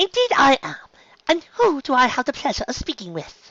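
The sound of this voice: Putting on a character voice, a man speaks at an extremely high pitch with a bright, sharp tone and very wide pitch swings, at a moderate pace, in a dry, close sound with no echo.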